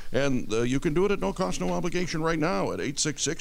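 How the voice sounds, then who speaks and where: Vocal fry runs through a man's fairly high-pitched speech. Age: 70s. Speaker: radio host. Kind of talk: radio talk show. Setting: studio. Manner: halting, many fillers.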